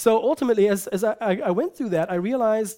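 A man with a German accent talks at a fairly quick pace in a high voice with lively intonation. The recording is very clean, with a silent background. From Germany. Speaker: preacher. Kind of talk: sermon.

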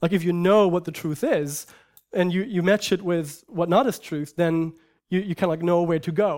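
The recording is very clean, with a silent background, as a man speaks at a high pitch with a German accent. His pace is moderate and his intonation fairly even. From Germany. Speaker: preacher. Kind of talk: sermon.

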